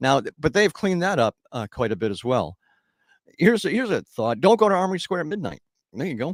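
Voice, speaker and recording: Delivery is animated and very fast, with very wide pitch swings. The recording is very clean, with a silent background and a dry, close sound with no echo. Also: man, high pitch for a man. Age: 60s. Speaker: radio host. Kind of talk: casual chat.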